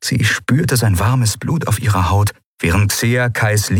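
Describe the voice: A quiet background behind plain reading aloud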